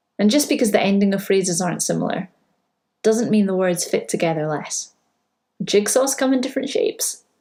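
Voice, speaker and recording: At a fairly quick pace, a woman speaks with lively intonation in a dark, mellow tone that is somewhat breathy. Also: medium pitch for a woman. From Scotland. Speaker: primary school teacher. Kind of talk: spoken word poetry performance.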